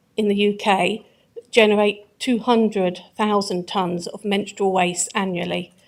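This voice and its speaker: A woman at a fairly slow pace, medium in pitch, with an English accent. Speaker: councillor, executive member. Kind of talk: council meeting answer.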